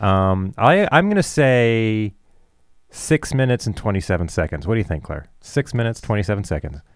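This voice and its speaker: A man with a Canadian accent has a plain, everyday voice at fairly low pitch, with lively intonation at a moderate pace. The recording is very clean with a silent background. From Canada. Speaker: college radio host. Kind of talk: casual chat, game show banter. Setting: studio.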